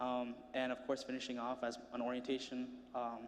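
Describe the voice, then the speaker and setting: A man's speech moves at a fairly quick pace. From Rhode Island (Cranston), US. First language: Spanish. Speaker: student speaker. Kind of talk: speech to an audience. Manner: casual and joking.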